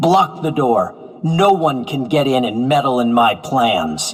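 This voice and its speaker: Using a put-on character voice, a man speaks at a fairly slow pace with ordinary pitch variation. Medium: video game. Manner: menacing, bitter.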